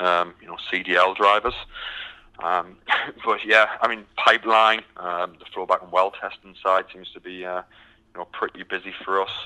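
Dry and close with no echo, a man's very deep, low voice has a bright, sharp tone but stays monotone and flat. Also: moderate pace, big swings in loudness. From UK. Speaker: recruiter. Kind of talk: casual business interview.

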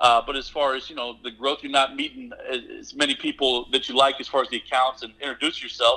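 A man with an American accent speaks at a fairly high pitch. His tone is bright and sharp, his pace fairly quick. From Nebraska. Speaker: oilfield services business owner. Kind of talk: interview.

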